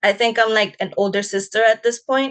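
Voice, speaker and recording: This woman has a New York accent and a fairly high pitch. Her pace is moderate and her intonation fairly even. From Texas. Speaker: English teacher. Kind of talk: interview.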